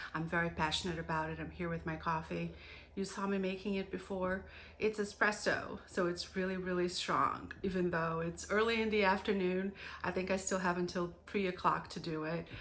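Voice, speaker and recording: A woman talks at a moderate pace in a medium-pitched, monotone and flat voice. Audible room echo surrounds her. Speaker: homemaking vlogger. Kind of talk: casual vlog talk.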